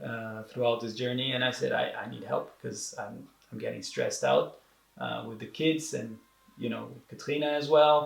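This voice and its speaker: Room echo surrounds a man with a Portuguese accent who speaks at a moderate pace, his volume rising and falling sharply. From Brazil. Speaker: entrepreneur sharing depression experience. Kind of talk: interview. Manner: halting, many repetitions and fillers.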